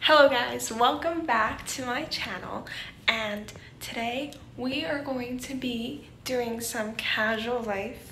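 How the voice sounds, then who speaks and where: Through clear background noise, a woman puts on a raspy character voice at a high pitch, with ordinary pitch variation and a fairly slow pace. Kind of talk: casual vlog intro.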